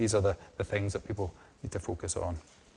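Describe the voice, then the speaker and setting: Somewhat breathy and fairly even in intonation, the voice carries a strong Scottish accent. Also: man. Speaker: hydrogeologist, research division head. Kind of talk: lecture. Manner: hesitant, many repetitions and fillers.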